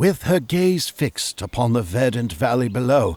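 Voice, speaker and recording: Very wide pitch swings and vocal fry in a man's speech. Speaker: audiobook narrator. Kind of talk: children's audiobook narration.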